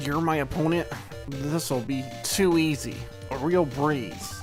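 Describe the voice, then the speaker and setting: Over loud music in the background, a raspy put-on character voice at a low-to-middle pitch moves at a fairly slow pace. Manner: cocky, boastful.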